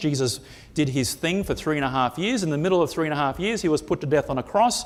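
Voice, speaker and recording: The man's pitch sits fairly high. He talks very fast, and his intonation is lively. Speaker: preacher. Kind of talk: sermon.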